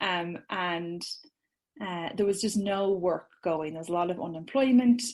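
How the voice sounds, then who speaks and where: A woman speaks at a fairly slow pace in an Irish accent. The background is quiet. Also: medium pitch for a woman, ordinary pitch variation. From Ireland. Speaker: social media business owner, course creator. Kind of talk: podcast interview.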